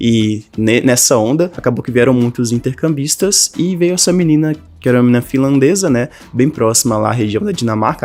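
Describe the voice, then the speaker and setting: This is a man with a plain, everyday voice at a medium pitch. He talks at a fairly quick pace with ordinary pitch variation. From Brazil, northern Minas Gerais. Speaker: language teacher and online creator. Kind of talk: personal story monologue to camera. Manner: casual, conversational.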